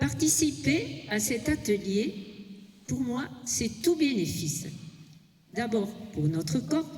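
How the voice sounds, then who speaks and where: In a room with audible echo, a woman talks very slowly at a medium pitch, her voice making very wide pitch swings. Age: 80s+. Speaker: senior fitness participant. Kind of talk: prepared speech. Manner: reading from notes.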